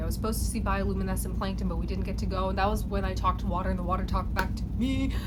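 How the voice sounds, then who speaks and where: Through noticeable background noise and audible room echo, a woman talks with an American accent. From New York. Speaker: vlogger and writer. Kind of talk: casual vlog monologue. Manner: fast; animated.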